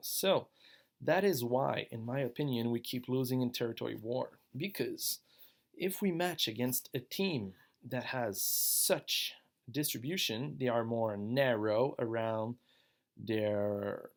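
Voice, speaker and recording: A man talks at a very slow pace. The recording is very clean, with a silent background. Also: medium pitch for a man, lively intonation. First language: French. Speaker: online gaming guild member. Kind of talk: tutorial. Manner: casual, slightly halting.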